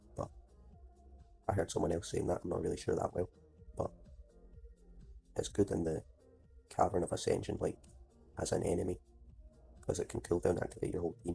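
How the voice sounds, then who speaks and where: Music plays in the background. The speech comes at a very fast pace, broken by long, frequent pauses. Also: man. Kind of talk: casual gameplay commentary.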